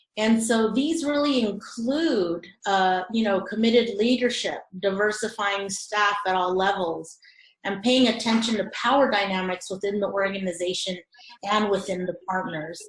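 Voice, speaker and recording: Speech comes at a moderate pace with ordinary pitch variation. The voice is somewhat breathy. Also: woman, medium pitch for a woman. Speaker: webinar presenter on informal science education. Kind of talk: webinar presentation. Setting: online webinar. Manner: hesitant, many fillers.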